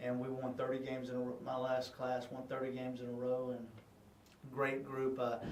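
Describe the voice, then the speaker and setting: Someone with a Southern US accent speaks at a fairly quick pace in a monotone, flat intonation. Noticeable background noise and audible room echo surround the voice. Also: man, medium pitch for a man. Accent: country Southern. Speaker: high school football head coach. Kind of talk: casual interview. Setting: video interview for radio show. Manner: halting, many fillers.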